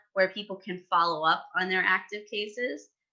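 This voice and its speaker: In an American accent, a woman speaks with a normal speaking voice, medium pitch, ordinary pitch variation and a moderate pace. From New York. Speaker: former disaster relief corps member, writer. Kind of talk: podcast interview.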